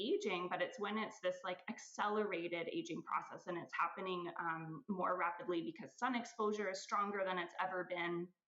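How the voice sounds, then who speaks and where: Her accent is Californian. The woman's pitch is medium. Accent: American (Californian). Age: 40s. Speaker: aesthetic nurse, clinic owner. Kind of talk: podcast interview.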